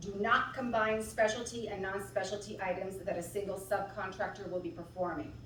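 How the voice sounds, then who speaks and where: A woman talks at a fairly quick pace with hardly any pauses and fairly even intonation, amid noticeable background noise and audible room echo. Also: medium pitch for a woman. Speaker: city procurement staff. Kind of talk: procedural briefing. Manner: loud. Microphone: no microphone.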